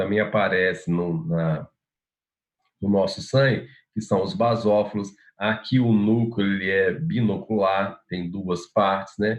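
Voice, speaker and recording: At a fairly slow pace, a man talks in an ordinary speaking voice, fairly low in pitch with ordinary pitch variation. His loudness swings widely. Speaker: university lecturer. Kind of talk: lecture.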